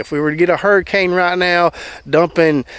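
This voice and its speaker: With a Southern US accent, a man with a high voice speaks at a moderate pace and ordinary pitch variation. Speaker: gardener. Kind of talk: casual talk to camera.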